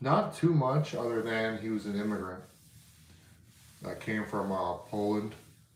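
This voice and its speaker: A man speaks at a fairly slow pace with a fairly low pitch, ordinary pitch variation and long, frequent pauses. Noticeable background noise and audible room echo fill the recording. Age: 30s. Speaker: history and antiques YouTuber. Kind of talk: casual live stream chat. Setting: live stream from home. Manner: casual, filler-heavy.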